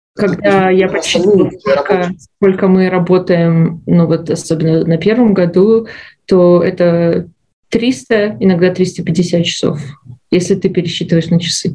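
With a dark, mellow tone and a somewhat breathy quality, a woman speaks fairly slowly at a fairly low pitch, her loudness very even and her intonation fairly even. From Belarus. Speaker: medical resident, former physician. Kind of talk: interview. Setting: studio.

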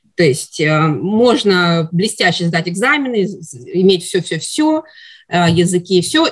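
A woman's somewhat breathy voice, medium in pitch, with very wide pitch swings. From Russia. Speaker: psychiatry resident, former pediatrician. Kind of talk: interview. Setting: studio.

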